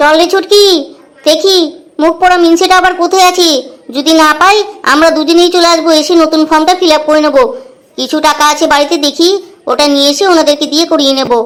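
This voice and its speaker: A woman uses a cartoonish character voice with an extremely high pitch, fairly even intonation and a fairly quick pace. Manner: loud, scolding, coarse.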